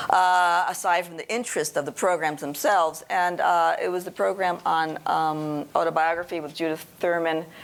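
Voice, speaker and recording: Speaking with an American accent, a woman uses a fairly low pitch with ordinary variation, a moderate pace, hardly any pauses and big swings in loudness. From New York City. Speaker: translator. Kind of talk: panel discussion. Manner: halting, many fillers.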